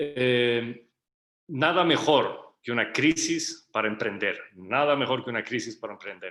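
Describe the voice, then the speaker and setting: A man's medium-pitched voice with a bright, sharp tone, ordinary pitch variation and a fairly slow pace. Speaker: entrepreneur. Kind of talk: workshop talk.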